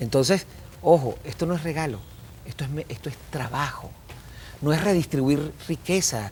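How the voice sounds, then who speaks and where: Lively intonation from a man at a fairly high pitch, moderate pace, with long, frequent pauses. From Venezuela. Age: 50s. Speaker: business communication consultant. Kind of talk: TV interview. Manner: animated.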